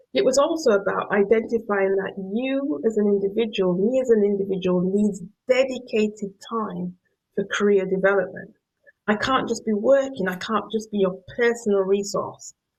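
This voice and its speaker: Using a Yorkshire accent, a woman talks at a moderate pace and medium pitch with ordinary pitch variation. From northern England, Yorkshire. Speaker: professor. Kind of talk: lecture.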